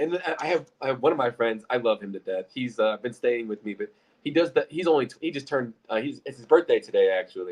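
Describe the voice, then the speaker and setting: A man with an American accent talks at a very fast pace in a fairly high voice, with lively intonation, big swings in loudness and hardly any pauses. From Illinois. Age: 20s. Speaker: real estate investor. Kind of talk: casual chat.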